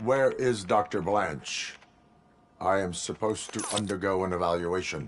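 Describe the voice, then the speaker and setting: A put-on character voice from a man, pitched very deep and low, delivered at a moderate pace. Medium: video game. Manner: flat, clipped, mechanical.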